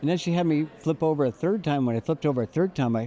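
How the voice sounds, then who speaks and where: A man with a fairly high pitch and a dark, mellow tone talks at a very fast pace in a dry, close sound with no echo. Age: 60s. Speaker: health tech company founder. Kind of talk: interview. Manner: halting.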